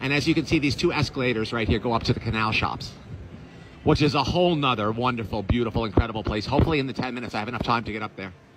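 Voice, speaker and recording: A man talks at a very fast pace with ordinary pitch variation. Music plays in the background. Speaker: travel vlogger. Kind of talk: casual vlog tour commentary. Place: hall. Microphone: phone near.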